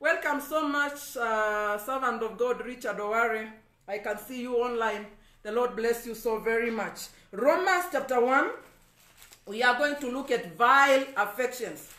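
A man uses a raised, projected voice at an extremely high pitch, with ordinary pitch variation. His pace is fairly slow, and the room echo is audible. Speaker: evangelist preacher. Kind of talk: sermon. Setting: Facebook live stream. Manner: preacherly, emphatic.

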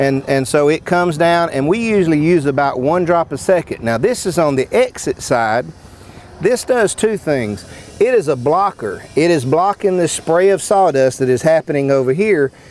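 A man's lively intonation at a moderate pace, dry with no echo, over light background noise. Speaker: sawmill product demonstrator. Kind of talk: product demo explanation. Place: open country. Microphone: lapel.

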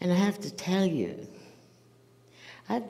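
Light background noise sits behind a woman whose tone is dark and mellow and somewhat breathy. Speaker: guest lecturer. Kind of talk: lecture. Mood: warm, amused. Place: stage.

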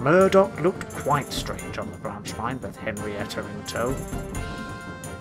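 Reading voice, unforced.

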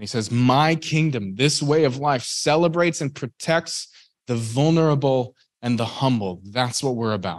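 A man has an unremarkable speaking voice at a medium pitch with ordinary pitch variation. He talks at a moderate pace over a quiet background. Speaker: Bible teacher, reverend; Bible teacher. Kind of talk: Bible teaching. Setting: in-person Bible study group. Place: meeting room.

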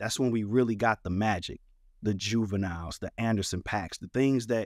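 A plain, everyday voice from a man with an American accent, medium in pitch with ordinary pitch variation, at a moderate pace, dry and close with no echo in a very clean recording with a silent background. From St. Louis, Missouri (North County). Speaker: music producer and DJ. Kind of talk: interview.

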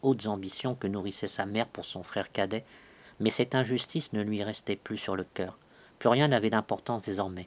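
The reader's voice is unforced, and its pitch varies in an ordinary way.

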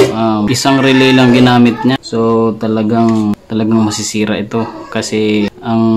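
Music plays in the background as a man speaks at a fairly slow pace. His intonation is monotone and flat. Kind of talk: tutorial. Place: home room. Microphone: phone near.

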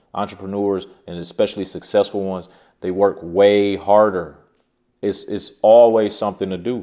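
Over a quiet background, a man with a fairly low pitch talks at a fairly quick pace in a monotone, flat intonation. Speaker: self-employed creator. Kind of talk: casual advice vlog. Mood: earnest, cautionary. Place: home room.

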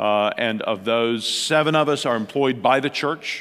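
The speaker is a man. His pitch varies in an ordinary way. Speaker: pastor speaking at a conference. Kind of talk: conference talk. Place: hall. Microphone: headset.

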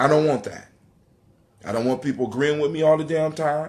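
Here a man speaks with a fairly bright tone.

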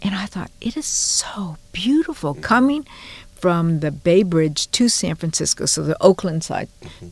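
The voice is somewhat breathy with lively intonation and a moderate pace, and the sound is dry with no echo. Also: woman. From Hawaii, Honolulu. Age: 70s. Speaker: journalist and educator; journalist, educator. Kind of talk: interview storytelling. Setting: studio. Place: studio.

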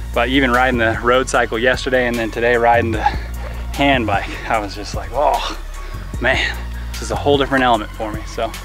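Clear music plays in the background as a man talks at a fairly quick pace in a dry sound with no echo. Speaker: athlete vlogger. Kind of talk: casual vlog chat. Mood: cheerful, laughing. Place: street. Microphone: camera far.

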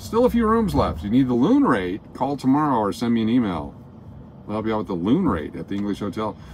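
Light background noise sits behind a man talking at a very fast pace. His intonation is lively. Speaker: live-stream host driving. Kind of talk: casual live-stream chat. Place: car. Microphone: phone near.

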